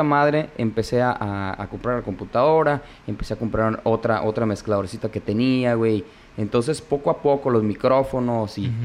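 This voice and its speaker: This is an unremarkable speaking voice moving at a fairly quick pace with ordinary pitch variation. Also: man. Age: 30s. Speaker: podcast host. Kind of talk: casual chat.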